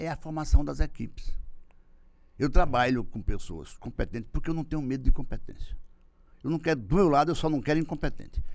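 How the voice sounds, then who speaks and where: Vocal fry runs through this man's voice as he talks at a fairly quick pace with ordinary pitch variation and long, frequent pauses. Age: 60s. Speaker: political marketing consultant. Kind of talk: interview. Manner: halting.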